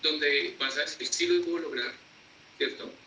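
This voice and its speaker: Noticeable background noise and audible room echo fill the recording. A man talks at a moderate pace. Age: 30s. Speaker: cheerleading coach. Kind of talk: interview.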